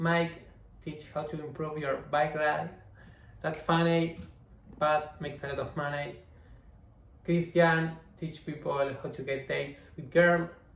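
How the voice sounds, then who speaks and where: A man's fairly high, somewhat breathy voice in a Spanish accent, monotone and flat, at a fairly slow pace with long, frequent pauses and audible room echo. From Argentina. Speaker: online business coach. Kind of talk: tutorial. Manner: halting, self-correcting.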